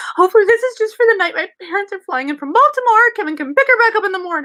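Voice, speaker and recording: Putting on a squeaky character voice, a woman talks at a very fast pace at an extremely high pitch with very wide pitch swings. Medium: stage play. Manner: snappy, sarcastic.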